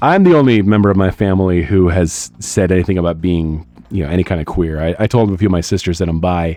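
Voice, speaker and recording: A man talks very fast in a very deep, low pitch, his dark, mellow tone carrying ordinary pitch variation. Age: 30s. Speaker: streamer and artist. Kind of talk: casual live stream chat while drawing. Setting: live stream. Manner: halting, many fillers and repeats.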